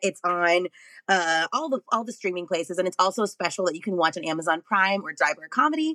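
A woman with an American accent speaks at a fairly quick pace, her tone bright and sharp and her intonation lively. The sound is dry and close, with no echo. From Texas, Arlington near Dallas. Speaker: stand-up comedian. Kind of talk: casual chat. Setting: video call from home office.

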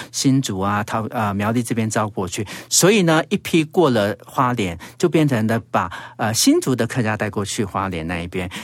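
A man with a Taiwanese accent talks in a medium pitch. His intonation is lively and his pace moderate. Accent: Taiwanese Mandarin. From Taiwan, Hsinchu (Zhudong), Hakka. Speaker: radio host and travel writer. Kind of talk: casual interview. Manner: animated.

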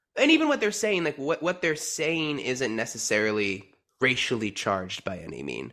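Bright, sharp tone from a man with an American accent, very wide pitch swings and vocal fry, on a very clean recording with a silent background. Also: medium pitch for a man, moderate pace. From New Jersey. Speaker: returning podcast guest, musical theater fan. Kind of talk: casual chat.

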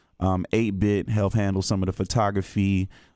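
A man with an American accent and a dark, mellow tone talks at a fairly quick pace and a fairly low pitch, recorded very cleanly against a silent background. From North Carolina, Greensboro. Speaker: rapper. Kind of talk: radio interview, casual chat. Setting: radio studio.

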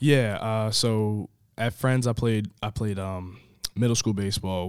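A man with an ordinary speaking voice and an American accent talks at a fairly slow pace with fairly even intonation in a very clean recording with a silent background. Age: 20s. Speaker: college baseball player. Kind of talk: interview.

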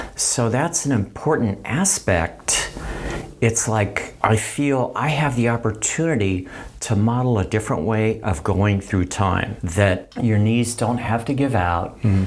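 Over noticeable background noise, a man talks at a fairly slow pace with medium pitch. His pitch varies in an ordinary way, and his loudness stays very even. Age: 70s. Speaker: trail runner. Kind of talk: casual chat. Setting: studio. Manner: animated.

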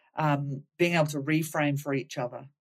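In a very deep, low pitch, a woman speaks with monotone, flat intonation. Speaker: podcast host, clinical psychologist. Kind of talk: casual interview; scripted intro.

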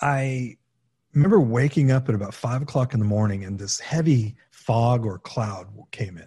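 A man's somewhat breathy, dark and mellow voice at a moderate pace, with big swings in loudness over a quiet background. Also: medium pitch for a man, ordinary pitch variation. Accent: American. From California, San Fernando Valley. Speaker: documentary filmmaker. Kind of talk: interview conversation.

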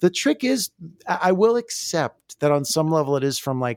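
A moderate pace, in a dry, close sound with no echo. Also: man. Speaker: singer-songwriter. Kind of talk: casual chat.

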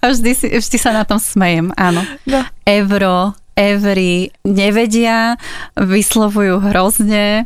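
The delivery is very slow, with very even loudness. Intonation stays fairly even. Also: woman, medium pitch for a woman. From Slovakia, Záhorie region. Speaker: copywriter and Slovak language popularizer. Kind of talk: interview.

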